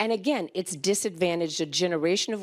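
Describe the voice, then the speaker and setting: A woman speaks in an ordinary speaking voice at a fairly low pitch. Her intonation is lively, her pace fairly quick, and the recording very clean with a silent background. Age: 60s. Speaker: physician. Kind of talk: conference panel talk.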